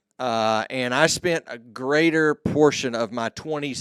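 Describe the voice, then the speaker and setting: With a Texan accent, a man talks at a fairly slow pace and ordinary pitch variation, the sound dry and close with no echo in a very clean recording with a silent background. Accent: Texan American. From Texas, Mesquite near Dallas. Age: 50s. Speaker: podcast host and entrepreneur. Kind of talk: interview, answering questions.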